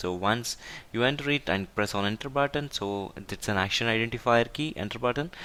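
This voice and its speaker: A man with a bright, sharp tone speaks at a fairly quick pace on a very clean recording with a silent background. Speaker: IT tutorial instructor. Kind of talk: tutorial. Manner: halting.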